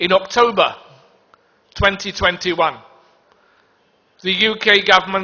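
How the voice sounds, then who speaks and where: A man talks with a British accent. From United Kingdom. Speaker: diplomat giving a conference speech. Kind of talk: conference speech. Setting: stage in a packed conference hall. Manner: hesitant, with many ums.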